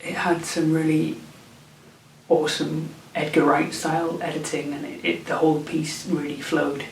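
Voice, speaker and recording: Over noticeable background noise and audible room echo, a man with a British accent and fairly high pitch talks at a moderate pace with monotone, flat intonation. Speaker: film vlogger. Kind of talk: casual vlog. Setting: indoors at night, late. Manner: whispering; halting, repeats words.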